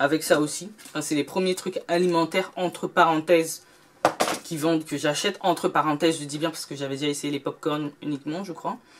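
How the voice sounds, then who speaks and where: A woman's fairly low-pitched voice at a moderate pace over noticeable background noise. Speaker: beauty and lifestyle youtuber. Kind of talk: shopping haul video.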